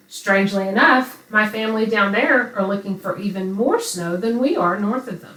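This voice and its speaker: A woman with a Texan accent and a medium pitch, at a moderate pace with hardly any pauses, ordinary pitch variation and big swings in loudness, over noticeable background noise. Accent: Texan Southern American. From Southeast Texas. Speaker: podcast host. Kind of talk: podcast introduction.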